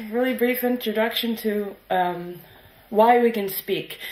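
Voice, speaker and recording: A woman's fairly high voice at a very slow pace, ordinary pitch variation, with noticeable background noise. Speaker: session moderator, PhD student. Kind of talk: session moderation. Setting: conference room with audience.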